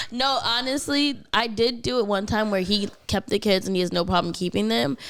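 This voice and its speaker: A woman's medium-pitched voice at a moderate pace, animated in tone, with lively intonation, very even loudness, and noticeable background noise. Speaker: podcast co-host. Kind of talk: casual chat.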